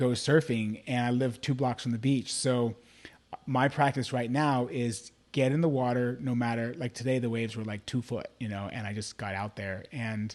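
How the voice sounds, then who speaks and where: A man talks at a medium pitch in an ordinary speaking voice with fairly even intonation. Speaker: life coach and author. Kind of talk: casual chat. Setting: live video call.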